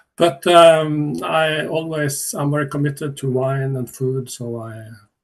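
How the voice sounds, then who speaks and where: A man with a Norwegian accent, fairly high-pitched, with ordinary pitch variation, a fairly slow pace and a quiet background. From Northern Norway. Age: 60s. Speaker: chef and sommelier. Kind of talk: online seminar talk. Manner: halting.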